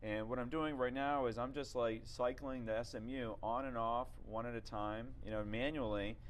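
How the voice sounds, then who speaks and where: An ordinary speaking voice from a man, medium in pitch, at a moderate pace with fairly even intonation and hardly any pauses. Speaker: webinar presenter. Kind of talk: scripted product demo. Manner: casual, filler-heavy.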